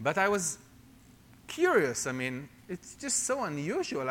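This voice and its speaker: A man speaks with an Israeli accent. His tone is bright and sharp. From Israel, Jerusalem. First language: Hebrew. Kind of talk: testimony sermon. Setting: church with congregation.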